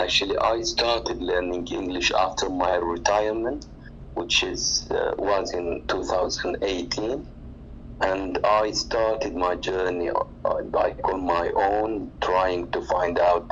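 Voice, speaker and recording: Speech with an Arabic accent comes at a very slow pace. Audible room echo and noticeable background noise fill the recording. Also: man. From Oman. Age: 40s. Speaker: retiree, language learner. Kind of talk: casual chat. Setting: online audio room.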